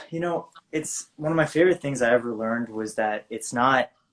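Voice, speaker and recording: Here is a man with a plain, everyday voice. He speaks at a moderate pace with ordinary pitch variation. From US South. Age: 20s. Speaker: actor. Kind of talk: casual chat.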